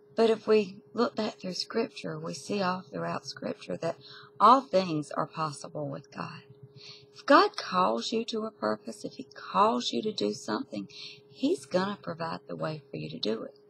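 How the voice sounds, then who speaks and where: A woman's voice with big swings in loudness, over light background noise. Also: moderate pace. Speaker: bible study teacher. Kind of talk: bible study talk. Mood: earnest, teaching. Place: home room. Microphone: webcam.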